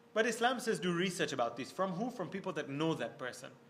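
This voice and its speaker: Audible room echo around fairly quick delivery, with ordinary pitch variation. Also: man. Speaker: religious scholar. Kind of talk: lecture. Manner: fast.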